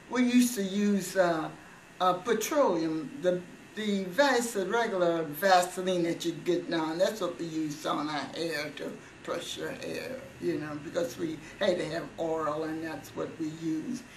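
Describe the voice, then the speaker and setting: Lively intonation at a fairly slow pace, over noticeable background noise. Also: woman, fairly low pitch for a woman. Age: 80s+. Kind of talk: interview answer. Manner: hesitant, reminiscing.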